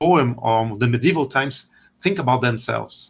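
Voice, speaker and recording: A man with a Portuguese accent speaks at medium pitch with ordinary pitch variation. His pace is fairly slow and his voice somewhat breathy. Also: quiet background. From Brazil. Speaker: historian and lecturer. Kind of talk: casual interview. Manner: halting.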